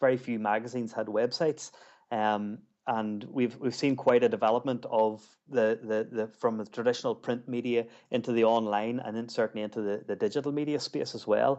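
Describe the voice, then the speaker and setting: Speaking with an Ulster accent, a man keeps a medium pitch, fairly even intonation and a fairly quick pace. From Ulster, Northern Ireland. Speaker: magazine editor. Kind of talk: interview. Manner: halting, many fillers and repeats.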